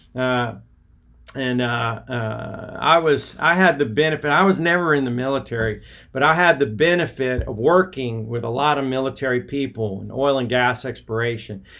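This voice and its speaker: Here a man with an American accent speaks at medium pitch and a moderate pace, with ordinary pitch variation. Noticeable background noise runs underneath. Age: 60s. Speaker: podcast host, former missionary. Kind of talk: casual livestream monologue. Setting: outdoors by a river at dawn. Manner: halting, many fillers.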